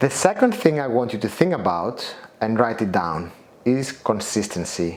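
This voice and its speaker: Someone with a non-native accent talks at a fairly slow pace over noticeable background noise. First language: not English. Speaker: motivational coach and author. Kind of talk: guided self-help lesson. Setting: outdoors at the Acropolis in Athens.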